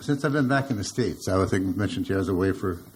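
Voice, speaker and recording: This man's voice comes across somewhat breathy. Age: 70s. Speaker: audience member. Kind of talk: audience question. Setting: lecture hall with audience. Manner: halting.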